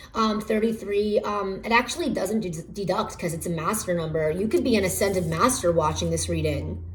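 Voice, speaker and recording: A woman speaks with vocal fry. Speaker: tarot reader. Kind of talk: pick-a-card tarot reading. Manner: halting, many fillers.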